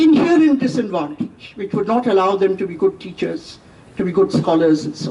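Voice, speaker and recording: Noticeable background noise behind a woman speaking at a moderate pace. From India. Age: 70s. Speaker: professor. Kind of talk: lecture.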